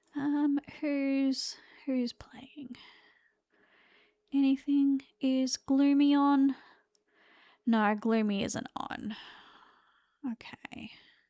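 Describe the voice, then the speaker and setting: In a very slow delivery with an Australian accent, a woman speaks with a high pitch, fairly even intonation, big swings in loudness and long, frequent pauses, in a dry, close sound with no echo. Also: very clean recording, silent background. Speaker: vtuber streamer. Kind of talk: casual live stream chat. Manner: casual, halting with fillers.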